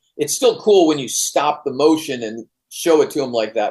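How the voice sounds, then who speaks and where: An ordinary speaking voice, from a man with an American accent. His pitch is fairly high. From US East Coast, Virginia. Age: 60s. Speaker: surf photographer. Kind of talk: casual chat.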